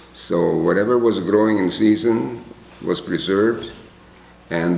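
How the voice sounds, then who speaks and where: With a Hungarian accent, a man talks using ordinary pitch variation. Room echo can be heard. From Czechoslovakia, ethnic Hungarian. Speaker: Holocaust survivor. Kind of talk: testimony.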